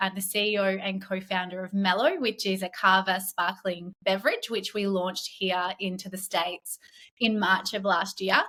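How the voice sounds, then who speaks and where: A woman with an Australian accent speaks in a bright, sharp tone and fairly even intonation. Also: hardly any pauses. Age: 30s. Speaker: entrepreneur, company founder. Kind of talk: podcast interview.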